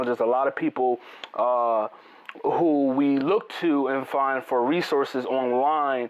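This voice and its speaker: A man's voice with ordinary pitch variation, plus noticeable background noise. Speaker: interview show host. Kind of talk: interview.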